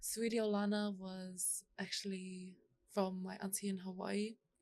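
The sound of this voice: At a fairly slow pace, a woman talks at a medium pitch.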